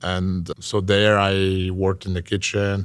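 A man speaks at a very slow pace with an Italian accent. His pitch is fairly low, and the recording is very clean with a silent background. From Italy. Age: 20s. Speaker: chef and food content creator. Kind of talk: casual interview chat. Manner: halting.

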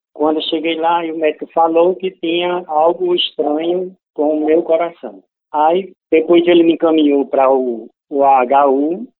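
A plain, everyday voice from a man, fairly high-pitched, fairly slow, with fairly even intonation. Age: 50s. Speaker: heart transplant patient. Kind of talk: testimony.

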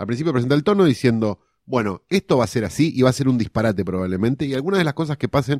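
At a very fast pace, a man with a medium pitch talks with lively intonation. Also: dry, close sound with no echo, very clean recording, silent background. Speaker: screenwriter podcast co-host. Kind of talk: casual film analysis chat.

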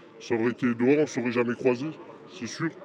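Here is a man with an ordinary speaking voice. His pitch is medium and his intonation fairly even. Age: young. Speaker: prison inmate. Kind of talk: interview.

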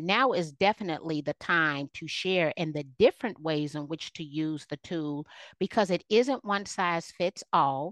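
At a moderate pace, a normal speaking voice with ordinary pitch variation comes through dry and close, with no echo, against a quiet background. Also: woman. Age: 50s. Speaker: keynote speaker and realtor. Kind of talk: casual interview.

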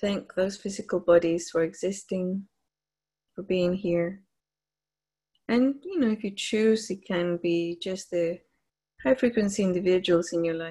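A woman talks at a medium pitch in a soothing, warm, somewhat breathy tone. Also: ordinary pitch variation, fairly slow pace. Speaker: meditation leader on a group call. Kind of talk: guided meditation, slow spiritual visualization with breath cues. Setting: live group call. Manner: slow, soothing, hypnotic cadence with long pauses; gently repetitive, affirming and warm.

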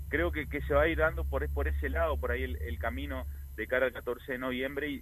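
Here a man talks with a very deep, low pitch. His pitch varies in an ordinary way. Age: 40s. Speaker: politician. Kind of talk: interview. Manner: halting.

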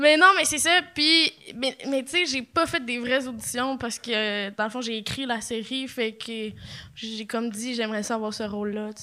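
Her pitch is high, and this woman speaks at a fairly slow pace with ordinary pitch variation. The tone is bright and sharp, with big swings in loudness. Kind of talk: casual chat. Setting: stage with audience.

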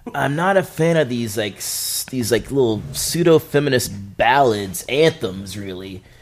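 There is music behind this man's voice. His pitch swings very widely. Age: 30s. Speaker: music commentator. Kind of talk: casual chat.

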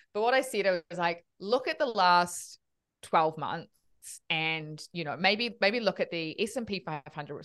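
Against a quiet background, a woman with a New Zealand accent and a fairly low pitch speaks at a moderate pace with lively intonation. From New Zealand, Auckland. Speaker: finance educator, co-founder of investing education platform. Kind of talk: podcast interview.

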